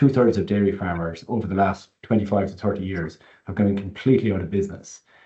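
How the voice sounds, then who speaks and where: A man speaks very fast in a fairly low, somewhat breathy voice. His intonation stays fairly even. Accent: Irish. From rural Ireland. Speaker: panel moderator on rural mental health. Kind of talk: panel discussion. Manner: halting, many repetitions.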